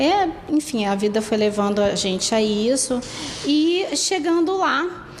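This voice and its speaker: In a Rio de Janeiro accent, the speaker goes at a very slow pace with very wide pitch swings and very even loudness, amid noticeable background noise and audible room echo. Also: woman, high pitch for a woman. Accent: carioca. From Brazil, Rio de Janeiro. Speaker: dog owner. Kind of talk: testimony.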